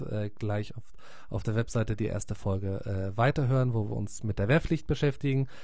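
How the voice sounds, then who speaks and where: The man's dark, mellow tone carries lively intonation. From Munich, Bavaria. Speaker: podcast host, former radio newsreader. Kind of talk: podcast intro.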